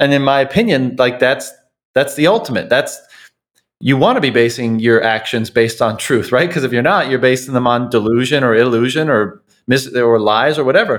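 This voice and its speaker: With an unremarkable speaking voice, a man talks at a fairly quick pace and medium pitch, with ordinary pitch variation and very even loudness, on a very clean recording with a silent background. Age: 30s. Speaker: podcast host. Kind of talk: interview conversation.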